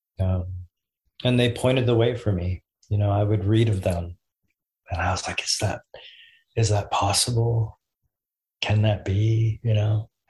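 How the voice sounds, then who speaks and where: A man's fairly low, somewhat breathy voice with fairly even intonation and very even loudness, at a moderate pace with long, frequent pauses, over a quiet background. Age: 40s. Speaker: spiritual guide and leadership consultant. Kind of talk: casual interview conversation.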